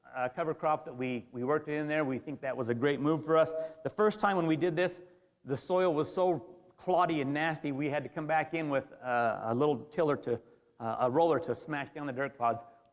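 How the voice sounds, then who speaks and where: Fairly quick and fairly high-pitched, a man speaks with an American accent and ordinary pitch variation. Noticeable background noise is present. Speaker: farmer. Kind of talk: presentation. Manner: fast; animated.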